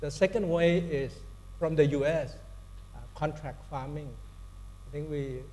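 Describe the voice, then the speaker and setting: Fairly slow, fairly even speech from a man with a Thai accent, fairly high pitch, long, frequent pauses, audible room echo and noticeable background noise. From Thailand. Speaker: corporate sustainability executive, panelist. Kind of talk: panel discussion. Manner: halting, many fillers and restarts.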